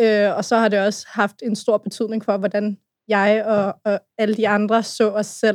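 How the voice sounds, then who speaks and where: A woman's medium-pitched, monotone, flat delivery at a fairly slow pace, in a dry, close sound with no echo and a very clean recording with a silent background. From Brøndby, Copenhagen western suburbs. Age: 20s. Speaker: youth activist. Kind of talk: casual chat.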